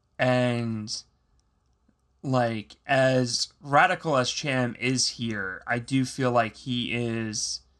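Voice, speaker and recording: Against a quiet background, someone with an American accent speaks at a very slow pace. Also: man. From Philadelphia, US. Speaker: podcast host. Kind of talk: casual chat.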